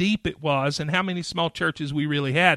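Speaking with an American accent, a man has a fairly high pitch, ordinary pitch variation and a bright, sharp tone. The recording is very clean, with a silent background and a dry, close sound with no echo. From western North Carolina. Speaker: denominational pastor advocate. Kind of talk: casual interview chat. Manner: halting, hesitant.

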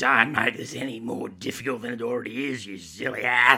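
In a put-on character voice, a man growls at medium pitch, raspy and monotone, at a fairly quick pace with big swings in loudness. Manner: snarling, scolding.

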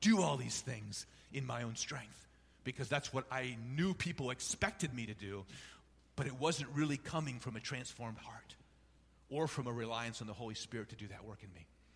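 A somewhat breathy man's voice at medium pitch, moderate pace, with ordinary pitch variation and big swings in loudness. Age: 50s. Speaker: bishop. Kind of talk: sermon.

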